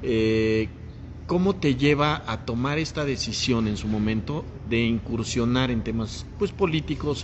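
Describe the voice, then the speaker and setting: Over noticeable background noise and audible room echo, a man talks at a fairly slow pace in a medium pitch. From Mexico, Puebla. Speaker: podcast host. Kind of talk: casual interview chat. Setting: café.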